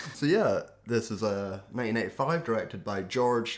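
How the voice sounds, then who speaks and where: This man speaks with an Aberdeen accent at a medium pitch. His intonation is lively. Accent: Scottish (Aberdeen). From Scotland, Aberdeen. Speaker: podcast host. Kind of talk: casual chat.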